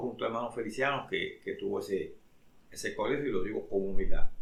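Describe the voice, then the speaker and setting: Noticeable background noise behind a man talking at a fairly quick pace. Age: 70s. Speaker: pastor. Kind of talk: religious talk.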